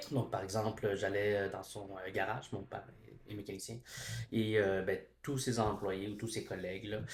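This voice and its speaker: A somewhat breathy man speaks at fairly low pitch and a moderate pace, his intonation flat and monotone. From Quebec, Montreal. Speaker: education student and teacher. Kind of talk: casual chat. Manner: halting, many hesitations.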